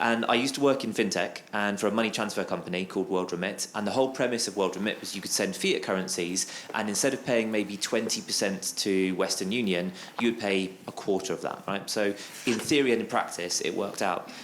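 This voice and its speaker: Against noticeable background noise, a man with a fairly low pitch talks at a very fast pace with ordinary pitch variation. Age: young. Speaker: audience member asking a question. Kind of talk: audience Q&A at live panel. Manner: halting.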